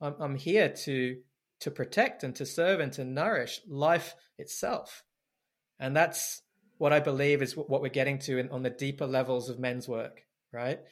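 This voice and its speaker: On a very clean recording with a silent background, a man talks at a moderate pace and fairly high pitch, with ordinary pitch variation. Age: 40s. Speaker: men's work facilitator and mentor. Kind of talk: interview conversation. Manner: halting, many repetitions.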